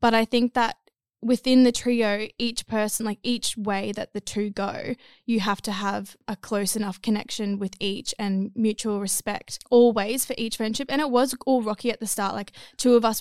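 A woman's fairly high, monotone voice with an Australian accent at a moderate pace, dry and close with no echo, on a very clean recording with a silent background. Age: 20s. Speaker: model. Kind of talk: casual chat.

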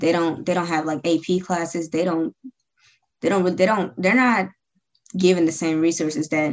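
The speaker has an American accent and a fairly even intonation. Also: woman. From Georgia, US. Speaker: student interviewer. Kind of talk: interview.

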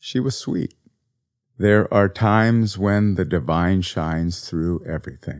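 Over a quiet background, a man with an unremarkable speaking voice talks at a fairly slow pace in a fairly low pitch, with ordinary pitch variation. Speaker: podcast host and author. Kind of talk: eulogy for a pet cat, read in a reflective spiritual-talk style, after a poem reading. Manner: gentle, tender and contemplative; slow, reflective and heartfelt.

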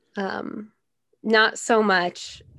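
The background is quiet. A woman speaks in a monotone, flat intonation. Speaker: music student and radio host. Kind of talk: casual chat.

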